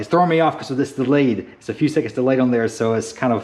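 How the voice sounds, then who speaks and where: A man at a medium pitch. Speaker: RC hobby YouTuber. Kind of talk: casual vlog update. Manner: halting, stuttering. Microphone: new GoPro media mod mic, sound test.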